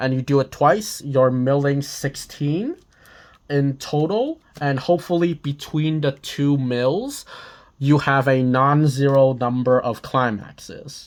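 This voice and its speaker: The speech moves at a very slow pace in a very clean recording with a silent background. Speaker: card game youtuber. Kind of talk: unboxing commentary. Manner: hesitant, many fillers.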